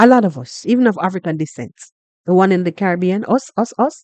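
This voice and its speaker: A Jamaican accent at a moderate pace. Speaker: YouTube reaction vlogger. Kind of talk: reaction commentary. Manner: animated.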